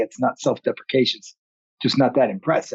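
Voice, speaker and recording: Speaking at a very fast pace, a man comes through with a dry, close sound and no echo. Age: 50s. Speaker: podcast host, active shooter expert, former Marine. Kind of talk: podcast interview.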